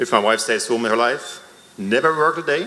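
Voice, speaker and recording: A man talks at a fairly quick pace. Audible room echo surrounds his voice. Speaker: member of the public at a town hall. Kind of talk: public comment at a town hall meeting. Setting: town hall meeting in a school. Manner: hesitant, with fillers.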